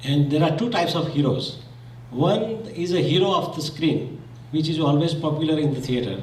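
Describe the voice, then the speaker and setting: Amid noticeable background noise and audible room echo, a man with a Gujarati accent talks at a fairly high pitch. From Zambia. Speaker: community speaker. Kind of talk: condolence speech.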